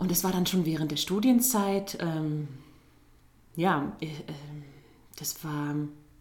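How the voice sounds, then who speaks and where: A woman speaks at a very slow pace, with long, frequent pauses and ordinary pitch variation. Her pitch is fairly low, and the room echo is audible. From Turkey (Izmir). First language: Turkish (speaking German). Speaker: musical theatre performer. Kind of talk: casual interview.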